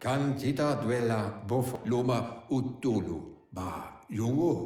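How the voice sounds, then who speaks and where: With a slight echo, a man uses a put-on character voice at a medium pitch and a fairly slow pace. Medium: video game. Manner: nonsense-language speech.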